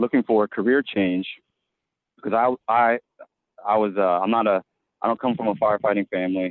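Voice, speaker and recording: A man with an American accent speaks at a fairly quick pace in a fairly low voice. His intonation stays fairly even, broken by long, frequent pauses. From Virginia Beach, Virginia. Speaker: firefighter. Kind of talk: podcast interview. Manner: halting, many repetitions.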